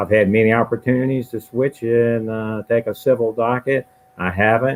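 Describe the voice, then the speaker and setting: Here a man speaks at a moderate pace with fairly even intonation. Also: medium pitch for a man. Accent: Louisiana. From Louisiana, Baton Rouge. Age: 60s. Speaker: judge, candidate. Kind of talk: candidate introduction at forum.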